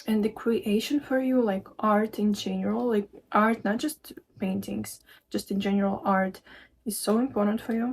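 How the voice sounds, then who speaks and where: With a non-native accent, a woman talks at a fairly high pitch and a moderate pace, her voice somewhat breathy and her pitch variation ordinary. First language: not English. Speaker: spiritual card reader and meditation teacher. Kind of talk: tarot-style channeled message reading. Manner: hesitant, many fillers.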